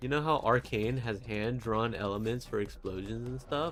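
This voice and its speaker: The speech is mumbled at a moderate pace. Its intonation is lively. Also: man. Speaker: vtuber artist streamer. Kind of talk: casual livestream chat while drawing. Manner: stuttering, mumbling.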